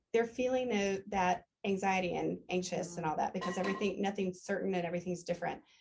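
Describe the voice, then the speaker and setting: A woman at a medium pitch with fairly even intonation, very even loudness and hardly any pauses. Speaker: customer giving a product testimonial. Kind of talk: testimony. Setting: live gathering with small group. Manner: fast; halting, many fillers and restarts.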